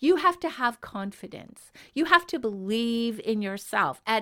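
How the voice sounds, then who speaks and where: In a Canadian accent, a woman speaks at a fairly slow pace with an animated, bright, sharp tone and very wide pitch swings. The recording is very clean, with a silent background. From Canada. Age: 60s. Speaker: happiness coach. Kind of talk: motivational podcast monologue.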